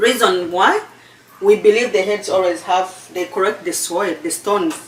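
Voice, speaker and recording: A woman with a Ugandan accent talks at a moderate pace in a medium pitch. Her pitch varies in an ordinary way, and there is noticeable background noise. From Uganda, eastern region (Busoga). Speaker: cooking channel host. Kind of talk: cooking tutorial chat. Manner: halting, repeats words.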